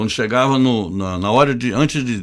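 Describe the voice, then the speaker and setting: A man is speaking. His pace is moderate. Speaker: journalist. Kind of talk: casual interview.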